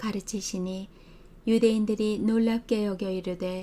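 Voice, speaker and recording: At a fairly slow pace, a woman with a fairly high pitch and a dark, mellow tone speaks in a monotone, flat intonation. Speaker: Bible reader. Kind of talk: scripture reading. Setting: home recording.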